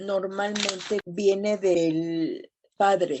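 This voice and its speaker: She is a woman speaking at a medium pitch. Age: 60s. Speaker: support group speaker. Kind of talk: testimony.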